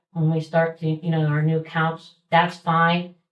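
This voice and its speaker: With a somewhat breathy quality, a woman talks at a moderate speed. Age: 60s. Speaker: community volunteer organizer. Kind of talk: public meeting remarks. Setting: township trustee meeting. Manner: halting.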